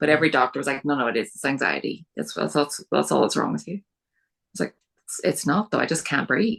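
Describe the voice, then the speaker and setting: A woman with a Northern Irish accent speaks at a very fast pace. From Northern Ireland. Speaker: podcast guest with multiple sclerosis. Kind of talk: interview.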